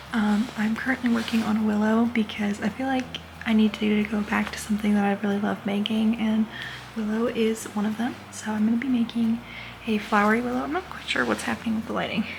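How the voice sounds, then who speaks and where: A woman speaks quietly at a fairly quick pace with a fairly high pitch and fairly even intonation, over noticeable background noise. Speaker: crochet vlogger and plush maker. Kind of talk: casual vlog. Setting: hotel room. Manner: quiet, hushed talking.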